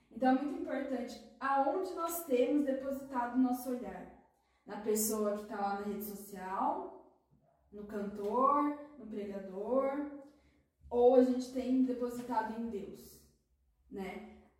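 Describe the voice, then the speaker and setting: With audible room echo, a woman with a high-pitched voice speaks at a fairly slow pace, her loudness swinging widely, her pitch varying in an ordinary way, and long pauses coming often. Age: 20s. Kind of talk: casual chat.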